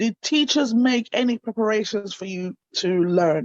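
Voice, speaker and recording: With an ordinary speaking voice, a woman talks at a fairly slow pace and a fairly high pitch, her intonation lively. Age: 30s. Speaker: talk show host. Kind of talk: interview. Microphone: breaking up, poor internet signal.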